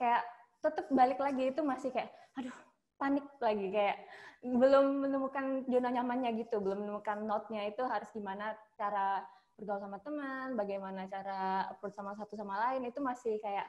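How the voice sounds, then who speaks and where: This woman talks at a fairly quick pace. Her pitch is fairly high, with ordinary variation. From Sumatra, Indonesia. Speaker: hotel front office worker, alumna. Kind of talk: casual interview chat. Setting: video call.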